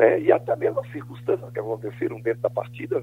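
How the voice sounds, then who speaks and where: Monotone, flat intonation from a man at a fairly quick pace. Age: 60s. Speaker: football coach. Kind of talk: radio phone interview. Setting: phone call.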